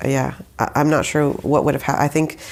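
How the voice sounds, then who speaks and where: The speaker is a woman. Her words come in an American accent. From Saudi Arabia, then Houston, Texas. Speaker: musician guest. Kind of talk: casual interview conversation. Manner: halting, many fillers.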